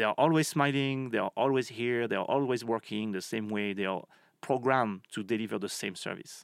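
Speaking with a French accent, a man uses a medium pitch and a fairly quick pace. His pitch variation is ordinary, and the recording is very clean with a silent background. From France. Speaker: marketing professor. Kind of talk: interview. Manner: halting.

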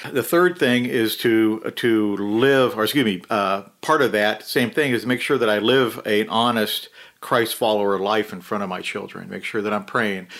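A man's unremarkable speaking voice at medium pitch, with an American accent, a moderate pace, hardly any pauses and ordinary pitch variation, in a very clean recording with a silent background. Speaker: retired police officer.

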